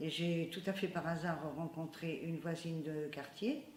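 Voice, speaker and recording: A woman with a very deep, low voice speaks at a moderate pace with ordinary pitch variation, and the room echo is audible. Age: 70s. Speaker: community computer centre member. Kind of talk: interview testimony. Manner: hesitant, with many fillers.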